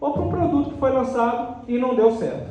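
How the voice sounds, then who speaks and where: A man speaks in an extremely high voice. Room echo is audible, and background noise is noticeable. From Brazil, Minas Gerais (Ubá). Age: 40s. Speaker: motivational speaker, real estate strategist. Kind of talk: talk to an audience.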